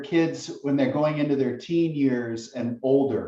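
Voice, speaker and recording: This man's voice sits fairly high and has a dark, mellow tone. He moves at a fairly slow pace with ordinary pitch variation. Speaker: guest speaker on parenting. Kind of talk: lecture. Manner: intense.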